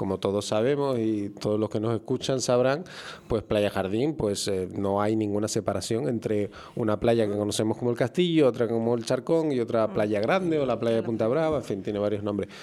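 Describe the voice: A man's fairly low, dark, mellow voice at a moderate pace with few pauses. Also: ordinary pitch variation.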